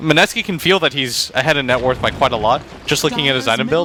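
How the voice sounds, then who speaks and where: A man at a very fast pace with ordinary pitch variation, over noticeable background noise. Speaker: esports color commentator. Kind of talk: live commentary.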